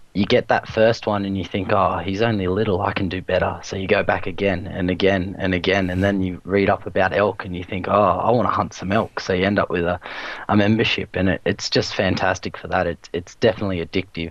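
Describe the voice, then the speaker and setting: A man with a very deep, low pitch speaks at a fairly quick pace with hardly any pauses and monotone, flat intonation over noticeable background noise. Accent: Australian. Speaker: online gamer, video creator. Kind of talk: casual chat.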